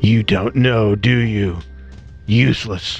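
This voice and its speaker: Clear music sits behind a growling, put-on character voice delivered at a fairly slow pace. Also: man, fairly low pitch for a man. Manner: cold, contemptuous.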